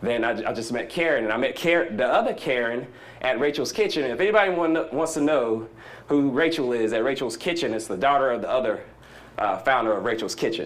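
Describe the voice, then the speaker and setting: A man in a Southern US accent, medium-pitched, with lively intonation, a very fast pace and audible room echo. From US South. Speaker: conference speaker. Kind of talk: conference talk. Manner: animated.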